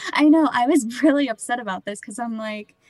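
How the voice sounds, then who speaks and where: Her voice high, a woman with a Midwestern American accent shows ordinary pitch variation in a dry, close sound with no echo. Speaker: photographer and grocery worker. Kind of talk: testimony.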